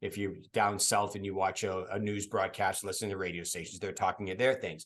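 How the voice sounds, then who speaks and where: A man with an American accent, fairly low in pitch, at a fairly quick pace with monotone, flat intonation, against a quiet background. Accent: Boston accent, dropped when reading. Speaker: podcast host and voice actor. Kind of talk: casual chat.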